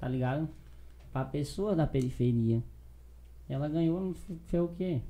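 Breathy in some measure, a man with a fairly high pitch and a dark, mellow tone speaks at a fairly slow pace with ordinary pitch variation and long, frequent pauses. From Acre, Brazil. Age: 20s. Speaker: rapper and YouTuber. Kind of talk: casual chat. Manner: animated.

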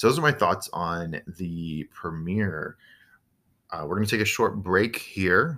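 A man's very deep, low voice with a bright, sharp tone and lively intonation, on a very clean recording with a silent background. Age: 20s. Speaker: podcast host. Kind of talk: solo podcast commentary. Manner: frequent fillers (uh, um).

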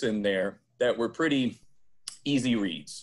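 A man talks with an Upper Midwest accent. His pitch sits in the medium range. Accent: Upper Midwest American. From Wisconsin, Fond du Lac. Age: 30s. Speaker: sales professional and diversity trainer. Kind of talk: interview conversation.

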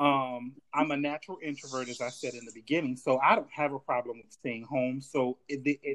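A man talks at a moderate pace. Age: 40s. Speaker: life coach and community activist. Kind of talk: interview. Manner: halting.

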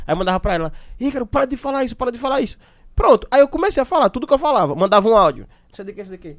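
A man at an extremely high pitch, very fast pace, very wide pitch swings and big swings in loudness, in a dry, close sound with no echo and a very clean recording with a silent background. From Aracaju, Sergipe, Brazil. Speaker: podcast host. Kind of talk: casual chat.

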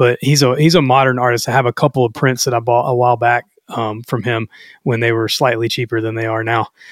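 Dry and close with no echo, a very clean recording with a silent background captures a man speaking very fast at a medium pitch. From Louisiana. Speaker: podcast host. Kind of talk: podcast intro and outro; casual chat. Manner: animated.

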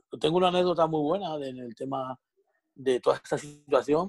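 A man with an ordinary speaking voice talks at a moderate pace, fairly high in pitch, with fairly even intonation. The sound is dry and close with no echo, against a quiet background. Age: 30s. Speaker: bar owner. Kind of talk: casual chat.

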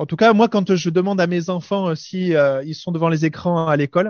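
A fairly high male voice in a southern French accent, with ordinary pitch variation. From southern France. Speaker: radio panelist, parent. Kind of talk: casual chat.

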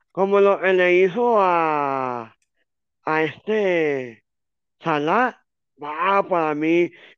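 A high-pitched man at a very slow pace, with long, frequent pauses, ordinary pitch variation and a quiet background. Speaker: football commentator. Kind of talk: casual sports talk. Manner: halting, many fillers.

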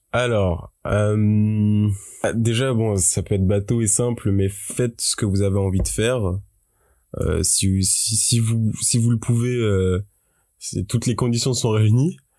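A man's fairly low, dark and mellow voice at a very slow pace with fairly even intonation, on a very clean recording with a silent background. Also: very even loudness. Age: 20s. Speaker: university student and youtuber. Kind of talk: interview. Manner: halting.

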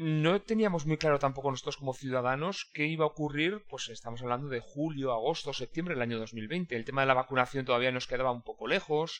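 Barely stopping for breath, a man talks at a very fast pace in a fairly high voice. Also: ordinary pitch variation. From Basque Country, Spain (Irún). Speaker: logistics consultant. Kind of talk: interview.

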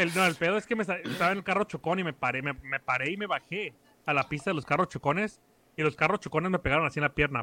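A man's fairly high voice, bright and sharp in tone, at a very fast pace with ordinary pitch variation and a dry, close sound with no echo. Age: 20s. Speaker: podcaster, guest. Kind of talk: casual chat.

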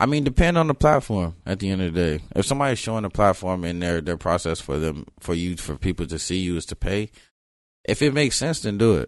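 Over a quiet background, a man with an American accent talks at a very fast pace in a very deep, low pitch, swinging very widely up and down. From South Florida (Broward County), early years in Los Angeles. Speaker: rapper. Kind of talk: interview.

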